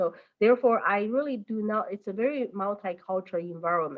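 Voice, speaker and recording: A woman's lively intonation in a Chinese accent. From mainland China. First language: Mandarin. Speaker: teacher. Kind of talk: interview. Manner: halting, many fillers.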